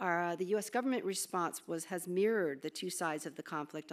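In a very clean recording with a silent background, a woman with a normal speaking voice talks at a fairly quick pace and fairly low pitch, with ordinary pitch variation. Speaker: government aid official. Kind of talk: keynote speech. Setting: stage with audience.

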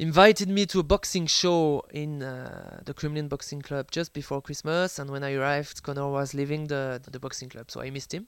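With a French accent, a man with a fairly high pitch talks at a fairly quick pace with hardly any pauses, fairly even intonation and big swings in loudness, on a very clean recording with a silent background. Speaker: sports journalist and author. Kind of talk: interview. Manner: hesitant, many fillers.

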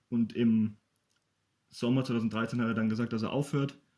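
This man speaks at a moderate pace. His medium-pitched voice has a dark, mellow tone. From Bavaria, Ingolstadt. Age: 20s. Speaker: poetry slammer and local sports journalist. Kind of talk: casual interview.

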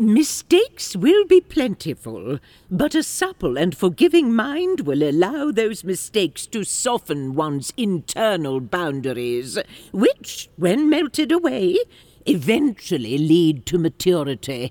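A woman at medium pitch, fairly slow pace and very wide pitch swings, in a dry, close sound with no echo. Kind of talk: audio drama acting. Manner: measured, wise, stern but cheeky.

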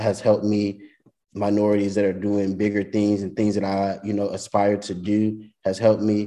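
At a moderate pace, a man speaks with a dark, mellow tone, fairly low pitch and monotone, flat intonation. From Louisiana. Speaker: college sports communications director. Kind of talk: interview.

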